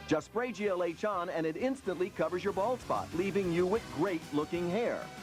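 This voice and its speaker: Someone talks at a moderate speed over music in the background. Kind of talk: TV commercial read; parody infomercial.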